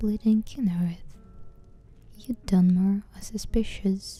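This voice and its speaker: Music plays in the background. A woman speaks very slowly at medium pitch. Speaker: ASMR channel host. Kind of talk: ASMR book reading.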